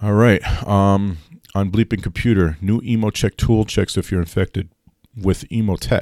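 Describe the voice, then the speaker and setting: A man's fairly low pitch with fairly even intonation, in a dry, close sound with no echo. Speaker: IT consultant podcast host. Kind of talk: solo tech news podcast. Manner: fast.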